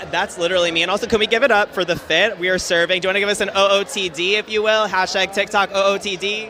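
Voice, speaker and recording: Over noticeable background noise, a man with a high pitch speaks in a raised, projected voice at a very fast pace with hardly any pauses. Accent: American. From New York. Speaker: event host. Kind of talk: live event interviews. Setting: live event backstage. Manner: animated.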